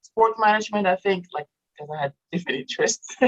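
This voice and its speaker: A woman speaks with a French accent. The sound is dry and close, with no echo. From Morocco. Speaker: author and entrepreneur with a PhD. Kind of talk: casual interview.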